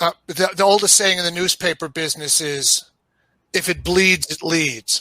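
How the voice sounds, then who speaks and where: A high-pitched man in a New York accent speaks at a moderate pace with a bright, sharp tone and fairly even intonation, in a dry, close sound with no echo. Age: 60s. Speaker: podcast guest. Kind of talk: casual chat. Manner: halting, many fillers and repeats.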